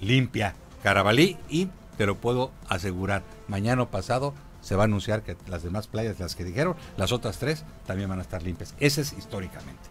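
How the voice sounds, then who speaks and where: Faint music plays in the background as a man talks at a fairly quick pace. His fairly low pitch carries lively intonation. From Acapulco, Guerrero, Mexico; Guerrero, Mexico. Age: 60s. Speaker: tourism official; radio guest or commentator. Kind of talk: radio interview. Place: studio. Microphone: studio mic.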